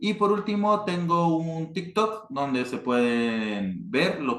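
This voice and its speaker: A man speaks with a northern Mexican accent. His pitch swings very widely. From northern Mexico, Chihuahua. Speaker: board game designer. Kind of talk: panel talk. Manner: hesitant, many fillers.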